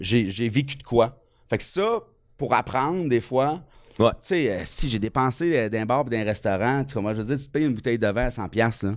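A man with a Quebec accent at a moderate pace, medium in pitch with ordinary variation, in a very clean recording with a silent background. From Quebec, Bas-Saint-Laurent. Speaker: comedian. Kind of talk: casual chat.

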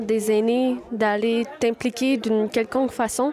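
Against crowd noise, a woman talks in a fairly high pitch with monotone, flat intonation. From Quebec, Wendake. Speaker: language and culture project manager. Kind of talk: interview testimony.

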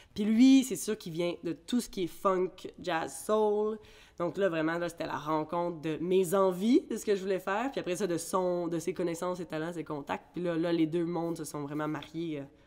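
Over music in the background, a woman with a fairly low pitch talks at a moderate pace with ordinary pitch variation. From Ireland, then Quebec from age 13. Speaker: singer. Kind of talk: casual interview.

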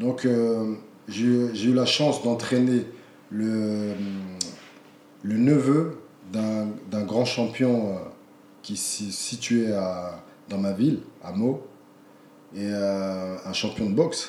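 With long, frequent pauses and a very slow pace, a man speaks at medium pitch in a dark, mellow tone with ordinary pitch variation, in audible room echo. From France. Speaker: kickboxing champion and coach. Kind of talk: interview conversation. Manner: halting, repeats words.

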